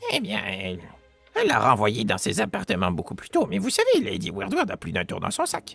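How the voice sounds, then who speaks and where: At a moderate pace, a man performs a put-on character voice while faint music plays in the background. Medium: actual play. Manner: weary, curt.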